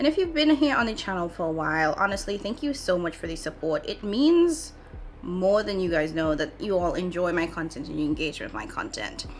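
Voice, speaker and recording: Her pitch swings very widely. The woman talks at a moderate pace. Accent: Trinidadian. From Trinidad and Tobago. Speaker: beauty vlogger. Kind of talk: chatty makeup tutorial. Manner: casual.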